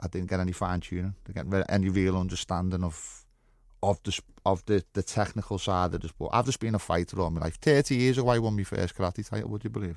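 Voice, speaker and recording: A man with a Liverpool accent talks at a very fast pace in a very deep, low voice with ordinary pitch variation, recorded very cleanly against a silent background. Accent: Scouse. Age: 40s. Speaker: former fighter. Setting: studio.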